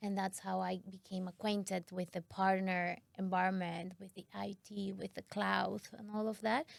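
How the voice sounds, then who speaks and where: At a moderate pace, a woman speaks with a medium pitch and monotone, flat intonation. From Mexico. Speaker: tech sales manager. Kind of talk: podcast interview. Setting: studio.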